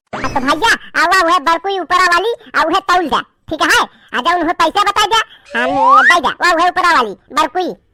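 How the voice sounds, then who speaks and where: A squeaky, put-on character voice at an extremely high pitch, fairly quick pace, sound effects in the background. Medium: comedy sketch. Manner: pushy, bargaining.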